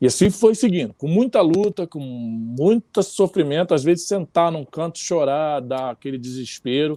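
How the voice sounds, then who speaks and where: A man's dark, mellow voice with lively intonation at a fairly slow pace, dry and close with no echo, in a very clean recording with a silent background. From Rio de Janeiro, Brazil. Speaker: samba musician. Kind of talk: interview answer.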